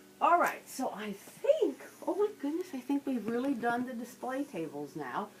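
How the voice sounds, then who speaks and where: The speech moves at a moderate pace. Noticeable background noise runs beneath it. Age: old. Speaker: museum owner and guide. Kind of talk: guided museum tour.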